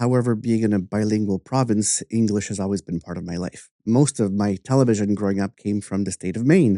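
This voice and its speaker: Over a quiet background, a man with a fairly low pitch and a dark, mellow tone speaks at a fairly quick pace with hardly any pauses and fairly even intonation, in a dry, close sound with no echo. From Canada, New Brunswick (French-speaking). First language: French. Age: 50s. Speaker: artist and podcast host. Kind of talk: interview conversation.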